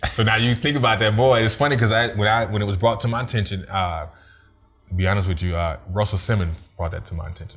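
This man has a fairly low pitch and ordinary pitch variation, talking at a very fast pace. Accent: American. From Germany, military family. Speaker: radio/TV personality and video producer. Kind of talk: casual interview chat.

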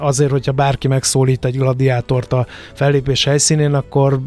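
Against noticeable background noise, a man talks at a fairly quick pace in a medium pitch. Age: 50s. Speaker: radio host and historical reenactor. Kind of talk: interview.

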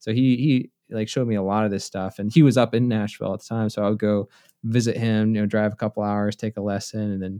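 At a fairly quick pace, a man with a fairly low pitch speaks in a dark, mellow tone with fairly even intonation. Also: dry, close sound with no echo, quiet background. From US South, South Carolina. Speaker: mandolinist and online music educator. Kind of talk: casual interview chat.

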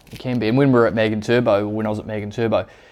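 This man has a New Zealand accent. His tone is dark and mellow. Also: quiet background. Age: 30s. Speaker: business owner. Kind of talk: interview.

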